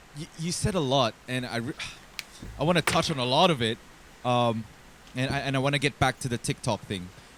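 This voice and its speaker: A man's medium-pitched voice with ordinary pitch variation and a fairly quick pace, broken by long, frequent pauses, dry and close with no echo, over noticeable background noise. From Bahrain, born in the Philippines. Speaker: podcast host. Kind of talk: podcast interview.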